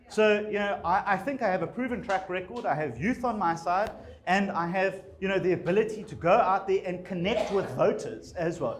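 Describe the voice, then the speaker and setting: A man speaks at a moderate pace with a high pitch and ordinary pitch variation. Noticeable background noise runs underneath. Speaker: politician. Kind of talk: campaign speech. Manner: hesitant, many fillers.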